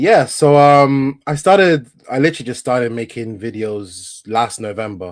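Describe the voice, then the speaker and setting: A man with an English accent, medium-pitched, at a moderate pace with hardly any pauses and lively intonation. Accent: doesn't sound Italian, English-sounding. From northern Italy, Vicenza. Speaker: football content creator. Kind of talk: casual chat.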